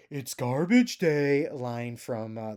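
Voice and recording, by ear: A man's put-on character voice at medium pitch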